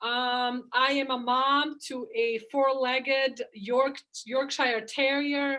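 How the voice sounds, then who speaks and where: With a non-native accent, a woman speaks at a high pitch and a very slow pace. Her intonation is fairly even. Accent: noticeable foreign. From outside the US, moved to US at fifteen. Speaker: chiropractor. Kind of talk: interview. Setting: call.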